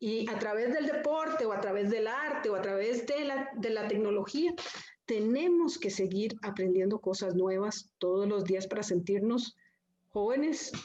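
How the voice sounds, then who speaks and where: In a room with audible echo, a woman talks at a fairly slow pace with a fairly high pitch and lively intonation. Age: 60s. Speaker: panelist. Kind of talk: panel discussion.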